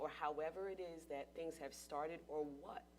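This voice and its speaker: Over music in the background, a woman with a very deep, low pitch speaks at a moderate pace with fairly even intonation. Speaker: panelist. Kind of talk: panel discussion, personal testimony.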